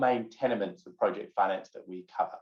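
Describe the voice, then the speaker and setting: A man speaks with a New Zealand accent. He talks at a fairly quick pace. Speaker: project finance advisor and lecturer. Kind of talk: lecture.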